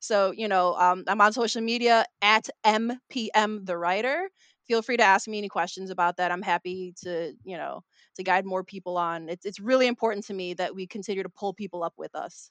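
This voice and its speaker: Recorded very cleanly against a silent background, a woman's medium-pitched voice comes through dry and close with no echo, her intonation fairly even but her loudness swinging widely. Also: moderate pace. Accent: Chicago. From Chicago, US Midwest. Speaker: mystery novelist. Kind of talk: casual interview. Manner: frequent fillers (um, like).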